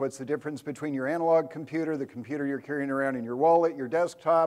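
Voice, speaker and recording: This is a very clean recording with a silent background. The voice belongs to a man. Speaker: software architect giving a tech talk. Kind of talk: conference talk to live audience. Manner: fast.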